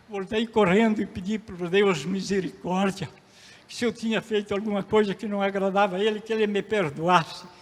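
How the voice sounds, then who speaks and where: A man speaks at a high pitch with fairly even intonation and a moderate pace. Noticeable background noise can be heard. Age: 80s+. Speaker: pastor. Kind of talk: sermon.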